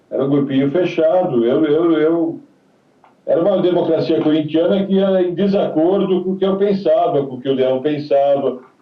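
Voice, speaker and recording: This man speaks at a high pitch. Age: 70s. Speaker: retired footballer. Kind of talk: interview.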